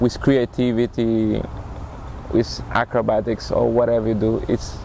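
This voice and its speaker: A man with a Brazilian accent at very even loudness, dry sound with no echo, and light background noise. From Recife, Brazil. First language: Portuguese. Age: 30s. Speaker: acrobat and circus performer. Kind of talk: interview, personal storytelling. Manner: halting, with fillers. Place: waterside. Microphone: lapel.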